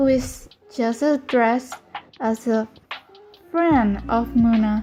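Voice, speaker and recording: A woman's high-pitched voice with a non-native accent and fairly even intonation, over music in the background. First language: Spanish. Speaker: artist and animator. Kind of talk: casual explainer monologue.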